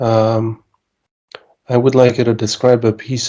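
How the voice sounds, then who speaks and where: Medium in pitch, a man speaks in a dark, mellow tone at a fairly slow pace. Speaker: IELTS mock speaking examiner. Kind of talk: exam interview questions.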